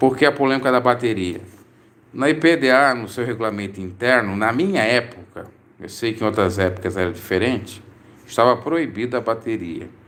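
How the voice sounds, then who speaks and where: A man speaks moderately fast in a medium pitch, his pitch varying in an ordinary way. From Brazil, Santa Catarina. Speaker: preacher and religious commentator. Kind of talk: live stream Q&A.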